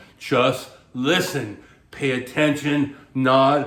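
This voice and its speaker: A man's monotone, flat intonation is heard through noticeable background noise. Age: 60s. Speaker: dating coach and author. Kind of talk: advice monologue to camera. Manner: casual, conversational with filler words.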